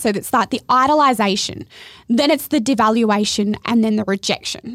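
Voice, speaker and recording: A woman speaks at a moderate pace in a fairly high voice with ordinary pitch variation, recorded very cleanly against a silent background with a dry, close sound and no echo. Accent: Australian. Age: 30s. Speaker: podcast host. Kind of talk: casual interview chat.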